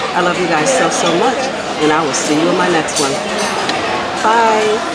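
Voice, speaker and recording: A woman at a fairly quick pace, with clear music in the background. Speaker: food vlogger. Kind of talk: casual vlog chat. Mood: warm, upbeat. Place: cafe. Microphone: phone near.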